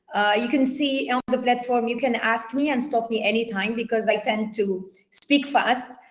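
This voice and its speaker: The speech moves at a fairly slow pace with ordinary pitch variation, and audible room echo surrounds it. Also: woman. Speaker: workshop speaker, founder of cultural funding organization. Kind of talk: online workshop lecture. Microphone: poor internet connection.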